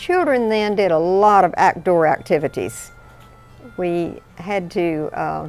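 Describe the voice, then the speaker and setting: Music plays in the background as a woman speaks with a Texan accent. Her pitch varies in an ordinary way. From South Texas, Cotulla. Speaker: hunter. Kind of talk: interview.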